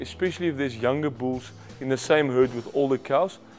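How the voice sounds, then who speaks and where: A man at a moderate pace with ordinary pitch variation, faint music in the background. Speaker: presenter. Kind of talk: instructional presentation. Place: studio. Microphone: lapel.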